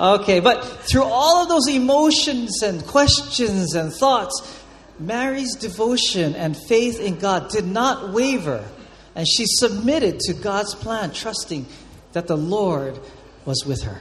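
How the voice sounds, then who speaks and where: Over noticeable background noise, a man speaks at a very slow pace. His high voice makes very wide pitch swings. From Hawaii (Oahu). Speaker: pastor. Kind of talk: sermon. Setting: church with congregation.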